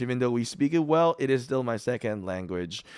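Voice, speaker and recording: The intonation here is lively. A man talks at a moderate pace. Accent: Filipino. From Philippines. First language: Filipino. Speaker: gaming YouTuber. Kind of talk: casual commentary video. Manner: casual, many fillers.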